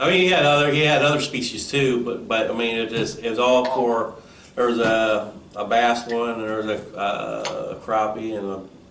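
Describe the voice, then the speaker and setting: Audible room echo and noticeable background noise are present. Through them, a man speaks at a moderate pace. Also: medium pitch for a man, ordinary pitch variation. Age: 50s. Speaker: podcast host, carp angler. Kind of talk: podcast interview.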